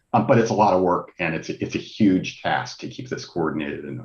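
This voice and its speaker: The intonation here is lively, with vocal fry running through it. The pace stays moderate. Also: man. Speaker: broadband program presenter. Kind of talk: committee testimony. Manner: hesitant, many fillers.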